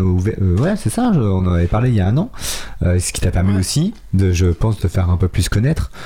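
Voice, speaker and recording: Speaking at a fairly quick pace, a man uses a plain, everyday voice with fairly low pitch and ordinary pitch variation. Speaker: radio host. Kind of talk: casual radio interview. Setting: radio studio.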